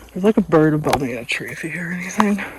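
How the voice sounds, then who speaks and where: Over noticeable background noise, a woman with a fairly low pitch speaks with ordinary pitch variation. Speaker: hiking vlogger. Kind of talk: casual vlog narration while walking. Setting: outdoors on a trail. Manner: hesitant, many fillers.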